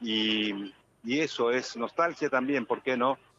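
Speaking at medium pitch, a man shows ordinary pitch variation. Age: 60s. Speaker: actor. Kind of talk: radio interview. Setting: phone call. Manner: halting.

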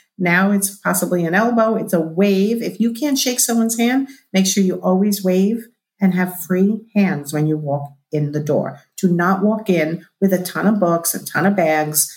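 A woman speaks at a moderate pace in a somewhat breathy, medium-pitched voice with ordinary pitch variation. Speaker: business coach and body language expert. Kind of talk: casual interview chat. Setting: video call.

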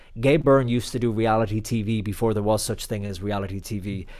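A man with an Irish accent. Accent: Irish (Clare). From Ireland, County Clare. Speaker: TV and radio reporter. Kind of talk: interview. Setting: video call.

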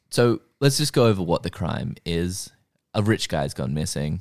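A man with a very deep, low voice and vocal fry speaks at a moderate pace in an animated tone, with very wide pitch swings. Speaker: podcast host. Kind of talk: casual comedic chat. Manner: jokey, animated.

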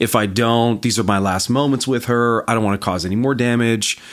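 At a fairly quick pace, a man talks with ordinary pitch variation in an unremarkable speaking voice. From Canada. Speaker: marketing agency founder. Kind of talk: casual interview.

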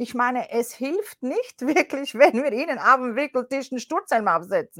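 A woman speaks at a high pitch and a fairly slow pace. The sound is dry and close, with no echo. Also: lively intonation. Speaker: coach, former media professional. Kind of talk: interview.

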